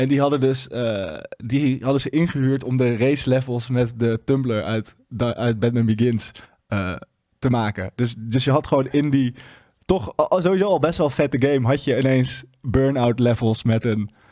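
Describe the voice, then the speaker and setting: Against a quiet background, a man speaks with a dark, mellow tone and ordinary pitch variation. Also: moderate pace. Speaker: gaming show host. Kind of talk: casual chat. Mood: relaxed, enthusiastic. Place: studio. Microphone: studio mic.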